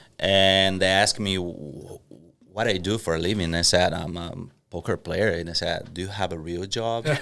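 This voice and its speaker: Speaking with a Portuguese accent, a man with a very deep, low pitch and a bright, sharp tone talks at a moderate pace with fairly even intonation. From Brazil, Curitiba. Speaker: professional poker player. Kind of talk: casual podcast interview.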